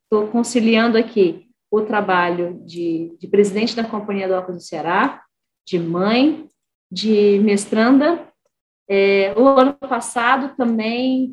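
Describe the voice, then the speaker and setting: A woman with an unremarkable speaking voice talks at a fairly slow pace, her pitch fairly high with ordinary variation. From Brazil, Espírito Santo. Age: 30s. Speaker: engineer and port executive. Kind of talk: interview testimony.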